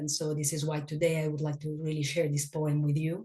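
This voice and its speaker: This woman's voice is somewhat breathy. She speaks with a non-native accent. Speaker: grief workshop teacher. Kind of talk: workshop talk. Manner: halting, with repetitions.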